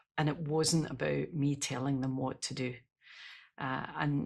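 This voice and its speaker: In a Scottish accent, a woman speaks with a very deep, low pitch and vocal fry. Her pace is fairly slow and her intonation fairly even. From Scotland. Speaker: leadership expert and speaker. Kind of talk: podcast interview. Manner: rolled r's.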